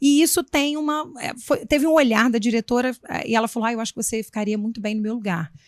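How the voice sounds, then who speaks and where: A woman with a Minas Gerais accent at a very fast pace and fairly high pitch, hardly any pauses, ordinary pitch variation, and a dry, close sound with no echo. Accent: Minas Gerais (mineiro) accent, noticeable. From Minas Gerais, Brazil. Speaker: municipal education secretary, former teacher and school principal. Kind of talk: interview.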